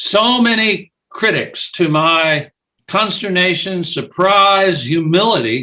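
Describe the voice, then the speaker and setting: Very slowly, a man speaks in a high, raised, projected voice with a bright, sharp tone and ordinary pitch variation. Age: 70s. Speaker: author and biographer. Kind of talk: interview. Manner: halting.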